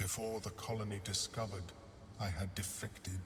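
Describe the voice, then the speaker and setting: Someone performs a put-on character voice at a fairly quick pace. Loud background noise fills the recording. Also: man, fairly low pitch for a man. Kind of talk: game voice acting. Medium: video game. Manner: formal, measured.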